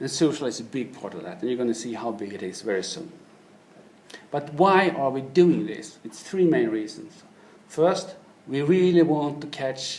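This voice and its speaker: Against audible room echo and noticeable background noise, a man with a Swedish accent talks at a fairly high pitch, with lively intonation and big swings in loudness. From Sweden. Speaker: business manager. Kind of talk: keynote presentation.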